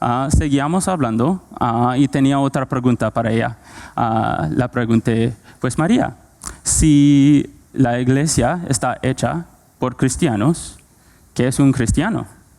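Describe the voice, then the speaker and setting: A man with a non-native accent speaks at a very slow pace, his tone dark and mellow. His pitch is medium with ordinary variation. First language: not Spanish (speaking Spanish). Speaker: preacher. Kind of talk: sermon. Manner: halting, many fillers.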